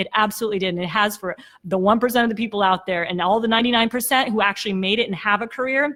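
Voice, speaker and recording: This woman talks at a very fast pace in a fairly high pitch. Her tone is bright and sharp, and her pitch varies in an ordinary way. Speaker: sales coach. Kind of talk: livestream motivational pitch. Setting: live stream. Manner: animated.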